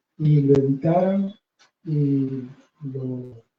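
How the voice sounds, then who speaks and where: A man speaks here. His voice is soft-spoken. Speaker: poet and author. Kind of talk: book presentation speech. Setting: bookstore event with audience.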